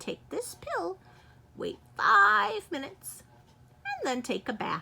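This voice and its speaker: Using a put-on character voice, a woman speaks high and fairly slowly, with very wide pitch swings and long, frequent pauses. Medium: read story.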